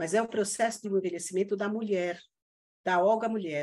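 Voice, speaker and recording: The speaker is a woman. Her pitch is medium. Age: 60s. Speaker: integrative therapist. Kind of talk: casual interview chat. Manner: halting, many fillers and repetitions.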